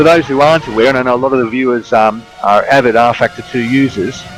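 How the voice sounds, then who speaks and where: Music plays in the background as a man speaks at a very fast pace. His pitch is medium and his intonation fairly even. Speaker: sim racing commentator. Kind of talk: live commentary.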